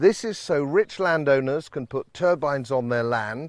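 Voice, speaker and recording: An ordinary speaking voice: a man at a fairly slow pace, lively in intonation. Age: 60s. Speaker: politician presenting a documentary. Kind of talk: documentary introduction to camera.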